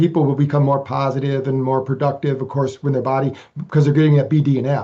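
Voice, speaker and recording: Speaking at a very fast pace, a man uses a fairly high pitch and a dark, mellow tone that is somewhat breathy. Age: 60s. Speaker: researcher and author on brain training. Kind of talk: interview. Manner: halting, frequent repetitions.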